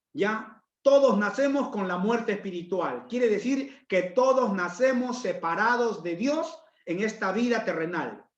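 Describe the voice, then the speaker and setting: A man with a high pitch speaks at a fairly slow pace with ordinary pitch variation, and audible room echo surrounds his voice. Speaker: pastor. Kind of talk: sermon.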